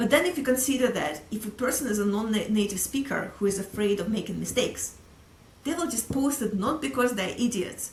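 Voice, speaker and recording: With a Russian accent, a woman speaks at a fairly quick pace and fairly high pitch. Her intonation is lively, and there is noticeable background noise. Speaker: sales executive. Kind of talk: casual interview.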